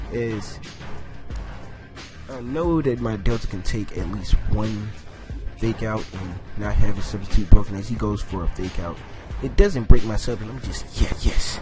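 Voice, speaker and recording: Over background music, a man talks at a moderate pace with long, frequent pauses and ordinary pitch variation. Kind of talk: casual gameplay commentary.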